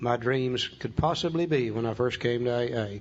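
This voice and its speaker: It is an unremarkable speaking voice. The pace is moderate, with ordinary pitch variation. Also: man. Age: 60s. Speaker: AA speaker, recovering alcoholic. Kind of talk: talk on recovery steps with reading aloud. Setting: room with audience.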